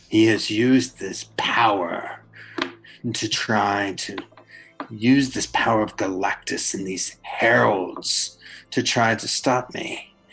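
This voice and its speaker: Over music in the background, a put-on character voice, robotic and raspy with a menacing tone, rumbles in a low pitch at a fairly slow pace. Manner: satanic, menacing.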